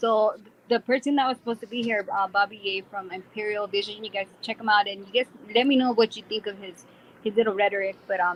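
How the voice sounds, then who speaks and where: Big swings in loudness run through a woman's very fast speech. Her pitch is fairly high. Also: fairly even intonation. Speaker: online show host. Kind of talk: casual chat.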